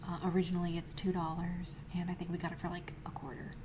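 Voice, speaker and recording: Soft-spoken and monotone, a woman talks with flat intonation over noticeable background noise. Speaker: ASMR creator. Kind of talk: ASMR narration.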